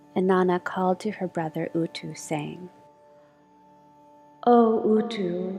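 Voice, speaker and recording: Over music in the background, a soft-spoken woman with a medium pitch talks at a very slow pace with long, frequent pauses and ordinary pitch variation. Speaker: storyteller and voice actor. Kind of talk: soft story reading of a myth with music. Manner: soft-spoken, slow.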